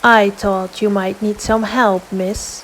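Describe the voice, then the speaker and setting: Putting on a gruff character voice, a woman speaks slowly-ish at a fairly slow pace, medium in pitch and monotone, with clear background noise. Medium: read story. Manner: menacing.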